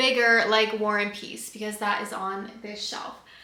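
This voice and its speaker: Audible room echo carries a woman's voice. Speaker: book youtuber. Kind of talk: casual vlog talk to camera. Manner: flat, not very expressive.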